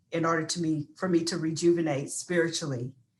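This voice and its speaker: The pace here is moderate. It is a plain, everyday voice with ordinary pitch variation. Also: woman. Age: 60s. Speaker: panelist. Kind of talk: panel discussion.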